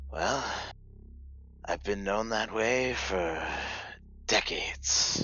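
Against clear background noise, a man does a put-on character voice at a very slow pace. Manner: wry, world-weary, condescending.

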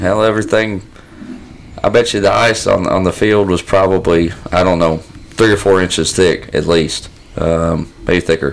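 With a Southern US accent, a man talks in a very deep, low voice at very even loudness. His intonation is fairly even, and there is noticeable background noise. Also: moderate pace. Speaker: duck hunter, podcast regular. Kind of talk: casual chat.

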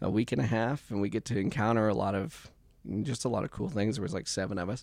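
The speaker talks at a fairly quick pace in an American accent. There is vocal fry and ordinary pitch variation. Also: man. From US Midwest, southwest Kansas. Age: 30s. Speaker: church member and mentor. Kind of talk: casual chat. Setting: studio.

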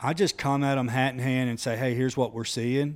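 On a very clean recording with a silent background, a man with an Alabama accent speaks at a fairly quick pace and with fairly even intonation. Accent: Southern US (Alabama). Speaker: entrepreneur. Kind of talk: casual chat.

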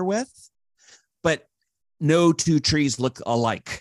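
Recorded with a dry, close sound and no echo, a man speaks with ordinary pitch variation. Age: 50s. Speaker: leadership consultant and former pastor. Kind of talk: interview conversation. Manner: animated, frequent laughter.

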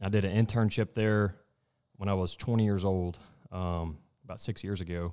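A man with a Texan accent speaks at a fairly low pitch in a dark, mellow tone with fairly even intonation. He leaves long, frequent pauses on a very clean recording with a silent background. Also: moderate pace. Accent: Southeast Texas (US South). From Southeast Texas. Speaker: wildlife biologist. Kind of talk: casual chat.

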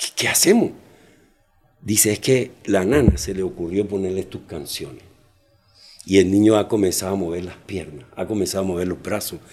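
A man with a very deep, low pitch, ordinary pitch variation and long, frequent pauses. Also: moderate pace, big swings in loudness. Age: 60s. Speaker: children's clown. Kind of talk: interview.

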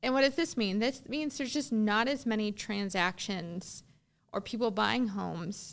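A woman's fairly high voice with vocal fry and lively intonation at a moderate pace, in a very clean recording with a silent background. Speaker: loan officer and podcast host. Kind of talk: educational podcast monologue. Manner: enthusiastic; casual, conversational.

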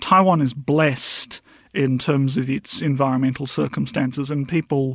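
A man with a New Zealand accent talks at a fairly slow pace and medium pitch, using ordinary pitch variation, on a very clean recording with a silent background. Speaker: historian. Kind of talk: interview.

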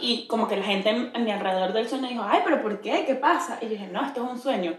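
A woman with a Venezuelan accent talks at a fairly quick pace with lively intonation. Audible room echo surrounds her voice. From Venezuela, Barquisimeto. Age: 20s. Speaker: podcast co-host. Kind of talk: casual chat.

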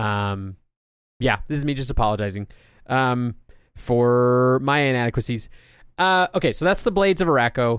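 The voice has lively intonation and long, frequent pauses, in a very clean recording with a silent background. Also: man, medium pitch for a man. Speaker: comic book podcaster. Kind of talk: solo podcast monologue. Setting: alone at a microphone. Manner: fast.

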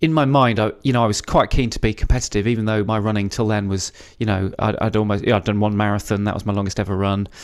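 With a southern English accent, a man speaks using ordinary pitch variation. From England, the Cotswolds. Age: 40s. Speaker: ultra runner. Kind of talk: casual interview. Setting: hotel room. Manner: halting, many repeated words.

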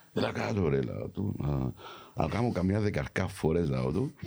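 Amid noticeable background noise, a man with a very deep, low voice speaks at a fairly slow pace, with long, frequent pauses and very wide pitch swings. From London, England, of Cypriot family. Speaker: actor. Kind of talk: casual chat. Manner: animated.

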